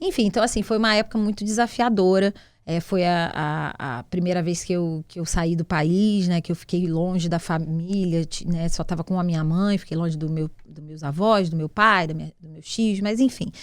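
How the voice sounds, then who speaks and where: In a Carioca accent, a woman speaks at a moderate pace with ordinary pitch variation and big swings in loudness. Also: fairly low pitch for a woman. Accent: carioca, hissing s. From Rio de Janeiro, Brazil. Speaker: entrepreneur, CEO. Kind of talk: interview, casual chat.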